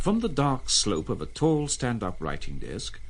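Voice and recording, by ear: A man's medium-pitched voice at a fairly slow pace, with very wide pitch swings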